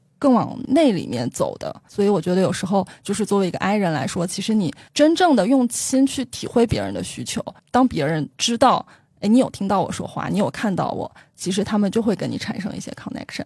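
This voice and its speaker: Over a silent background in a very clean recording, a woman at medium pitch talks at a fairly quick pace. Her pitch swings very widely, and there is vocal fry. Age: 30s. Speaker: tour leader with a consumer-research day job. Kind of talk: interview conversation.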